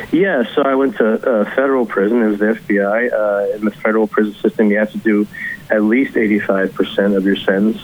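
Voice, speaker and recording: A man talks at a moderate pace with a fairly low pitch and fairly even intonation. Noticeable background noise sits behind him. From Kentucky. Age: 30s. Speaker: author. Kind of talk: interview. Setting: remote call.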